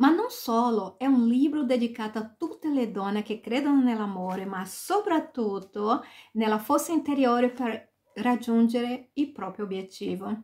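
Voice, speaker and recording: The woman's pitch is fairly high, with ordinary pitch variation. She talks at a fairly slow pace against a quiet background. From Brazil, Salvador, Bahia. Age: 40s. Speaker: author. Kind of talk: self-presentation. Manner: halting, mixing Portuguese and Italian. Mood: warm, smiling. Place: home room. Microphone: webcam.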